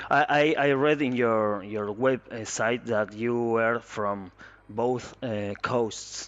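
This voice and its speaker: A man's medium-pitched voice with a Spanish accent, very slow in pace, with ordinary pitch variation. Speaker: interviewer. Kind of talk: interview. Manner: halting.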